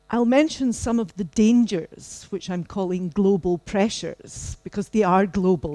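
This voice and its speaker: In a Scottish accent, a woman speaks at a fairly slow pace in a dark, mellow tone. The sound is dry and close with no echo, on a very clean recording with a silent background. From Scotland. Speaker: professor. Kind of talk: keynote lecture.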